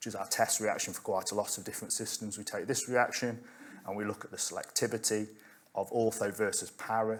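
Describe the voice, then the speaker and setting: A man talks at a very fast pace and medium pitch with monotone, flat intonation. His loudness swings widely. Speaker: chemistry researcher. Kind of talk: conference talk.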